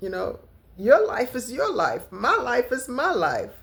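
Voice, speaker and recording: Speaking at a very slow pace, a woman's voice carries vocal fry. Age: 60s. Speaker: lifestyle vlogger. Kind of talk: casual vlog talk to camera.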